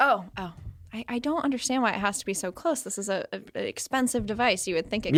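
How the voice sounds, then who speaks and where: Talking at a very fast pace, a woman uses a fairly high pitch and lively intonation in a very clean recording with a silent background. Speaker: interview guest. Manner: hesitant, restarts sentences.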